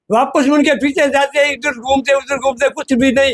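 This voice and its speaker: Captured in a dry, close sound with no echo, a man speaks at an extremely high pitch. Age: old. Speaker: local shopkeeper, resident. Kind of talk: street interview. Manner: stammers at times.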